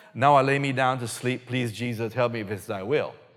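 Over noticeable background noise, a man speaks at a fairly quick pace with lively intonation and a medium pitch. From Belize. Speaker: guest preacher. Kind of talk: sermon.

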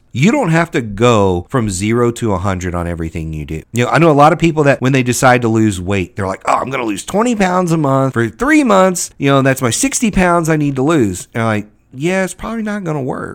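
At a fairly quick pace with hardly any pauses, a man of medium pitch speaks with very wide pitch swings. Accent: American. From US South, Louisiana. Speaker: podcast host, government contracting consultant. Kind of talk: solo podcast monologue.

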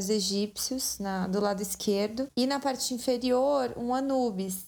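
A woman with a plain, everyday voice speaks at a fairly slow pace, her pitch fairly high. Her intonation stays fairly even on a very clean recording with a silent background. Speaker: podcast host. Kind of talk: scripted narration. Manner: casual.

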